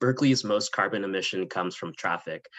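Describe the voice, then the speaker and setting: With a Californian accent, a man speaks in fairly even intonation. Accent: Californian American English. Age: 20s. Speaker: political candidate. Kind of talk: panel interview.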